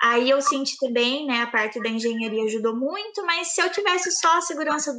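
A woman with a bright, sharp tone talks at a moderate pace, her pitch sitting high. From southern Brazil, Campo Largo near Curitiba, Paraná. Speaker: engineer. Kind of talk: interview. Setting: live stream.

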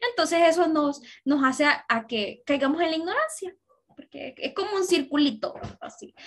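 A woman with an extremely high pitch, lively intonation and big swings in loudness. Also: moderate pace. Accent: Honduran. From Honduras. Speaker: university student. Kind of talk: casual podcast chat.

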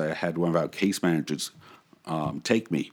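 An American accent from a man, on a very clean recording with a silent background. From Brooklyn, New York, then San Francisco Bay Area. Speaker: nonprofit executive director. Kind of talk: casual interview. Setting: studio.

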